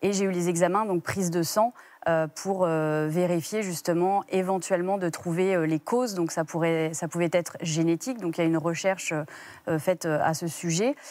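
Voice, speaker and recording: A woman talks at a fairly low pitch and a moderate pace. Her intonation stays fairly even. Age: 30s. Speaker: guest mother sharing infertility story; guest. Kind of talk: TV interview testimony. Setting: TV studio. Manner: halting, many hesitations. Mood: calm, reflective. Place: studio. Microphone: lapel.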